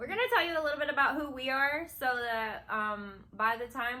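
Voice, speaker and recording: A woman speaks in a bright, sharp tone with a Kentucky accent and ordinary pitch variation. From Kentucky, McCreary County (rural Appalachia). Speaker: new video creator, channel co-host. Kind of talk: casual chat.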